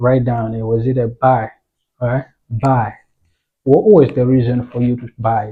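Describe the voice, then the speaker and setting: A man speaks with a non-native accent at medium pitch, somewhat breathy, in monotone, flat intonation. His loudness swings widely, and he leaves long, frequent pauses. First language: not English. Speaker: forex trading educator. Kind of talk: tutorial. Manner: casual, halting with fillers.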